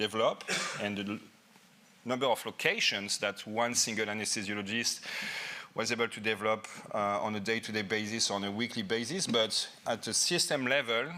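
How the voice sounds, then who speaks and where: Bright and sharp in tone, a man with a French accent talks at a fairly quick pace and a medium pitch. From France. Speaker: anesthesiologist and professor. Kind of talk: conference lecture. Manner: halting, with repetitions.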